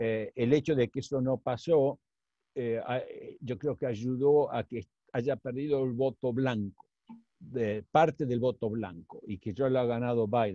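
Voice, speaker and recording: Dark and mellow in tone, the voice moves at a fairly slow pace with ordinary pitch variation, dry and close with no echo. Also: man, medium pitch for a man. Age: 60s. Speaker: economist. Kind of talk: interview Q&A. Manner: halting, many fillers.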